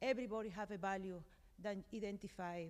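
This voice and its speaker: With a Colombian accent, a woman speaks at medium pitch using ordinary pitch variation. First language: Spanish. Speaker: conference panelist. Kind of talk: panel discussion. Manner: halting.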